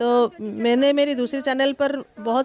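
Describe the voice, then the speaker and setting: With monotone, flat intonation, a woman talks at a high pitch. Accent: Odia. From Odisha, India. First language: Odia (speaking Hindi). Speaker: travel vlogger. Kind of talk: travel vlog narration. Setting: outdoors. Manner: halting, with frequent fillers.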